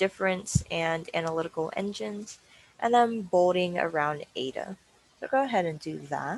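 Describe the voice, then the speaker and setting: A woman talks in a plain, everyday voice, fairly low in pitch. She speaks at a moderate pace with lively intonation. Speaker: workshop instructor. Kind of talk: tutorial.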